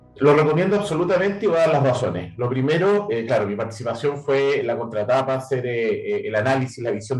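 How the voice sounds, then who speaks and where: With a Chilean accent, a man talks at a very fast pace with lively intonation. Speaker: AI and quantum computing entrepreneur, coach. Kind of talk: interview.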